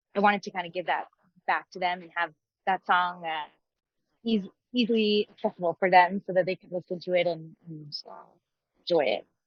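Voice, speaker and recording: A woman with a Montreal accent talks at a fairly quick pace and a medium pitch, her intonation fairly even. Her loudness swings widely, and she takes long, frequent pauses. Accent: Canadian English, Montreal. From Canada, Montreal (Anglophone area), Quebec. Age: 30s. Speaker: country singer-songwriter. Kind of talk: interview.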